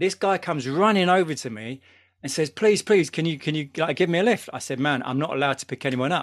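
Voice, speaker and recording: Against a quiet background, a man with a London accent talks at a very fast pace, his fairly high pitch showing ordinary variation. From London, England. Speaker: DJ and podcaster. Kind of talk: casual chat.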